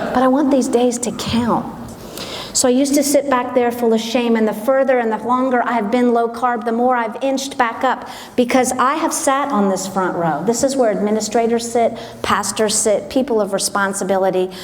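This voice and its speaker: A woman with a Southern US accent speaks at a high pitch and moderate pace, with ordinary pitch variation and very even loudness. Noticeable background noise and audible room echo surround her. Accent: Southern American. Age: 60s. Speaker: event speaker, gym manager. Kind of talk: motivational talk. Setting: stage with audience. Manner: animated.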